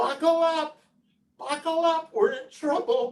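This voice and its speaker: Put-on character voice, shrill and extremely high in pitch, at a fairly slow pace. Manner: frantic, alarmed.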